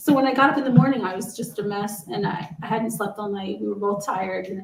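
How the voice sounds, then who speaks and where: Talking at a fairly quick pace, a woman with an American accent and an ordinary speaking voice holds a medium pitch with ordinary pitch variation. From New York. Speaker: Parkinson's advocate. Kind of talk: casual chat.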